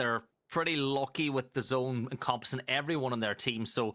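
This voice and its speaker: The voice has a bright, sharp tone and an Irish accent. The recording is very clean, with a silent background. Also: man. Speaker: esports caster. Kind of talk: live commentary.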